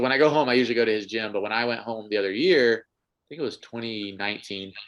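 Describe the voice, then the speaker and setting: An unremarkable speaking voice, this man's is medium in pitch, with an American accent, ordinary pitch variation and a fairly quick pace. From US South, North Carolina. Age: 20s. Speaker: air force member and crossfit athlete. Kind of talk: casual chat. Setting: podcast interview.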